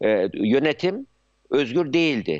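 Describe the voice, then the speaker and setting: Against a quiet background, a man with a fairly high voice talks at a very slow pace. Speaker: psychiatrist and university founder. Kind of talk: live TV news interview. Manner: halting, many filler sounds.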